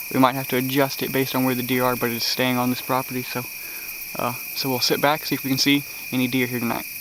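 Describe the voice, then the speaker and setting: A man speaks at a medium pitch and a very fast pace. Noticeable background noise runs underneath. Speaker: deer hunter. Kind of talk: hunting vlog narration. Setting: outdoors in a tree stand.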